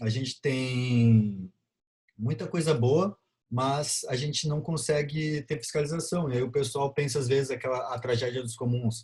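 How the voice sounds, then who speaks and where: Pitch moves in an ordinary way here. The tone is dark and mellow, with some breathiness. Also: man. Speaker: biology lecturer. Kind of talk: lecture.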